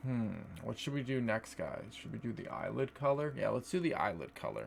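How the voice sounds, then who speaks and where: Someone speaks at a fairly quick pace, with noticeable background noise behind. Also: man. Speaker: makeup streamer. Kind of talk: live stream chat while doing makeup. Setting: live stream.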